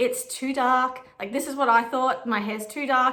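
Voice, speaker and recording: Against audible room echo, a woman with a strong Australian accent talks at a moderate pace in a high voice with fairly even intonation. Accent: broad Australian. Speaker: vintage stylist and photographer. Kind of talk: casual chat. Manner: casual, rambling.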